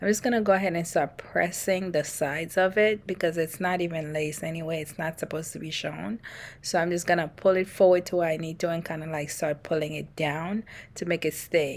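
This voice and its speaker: A soft-spoken woman talks at a fairly quick pace with a fairly low pitch. The recording is very clean, with a silent background. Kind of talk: hair tutorial voiceover. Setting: no microphone.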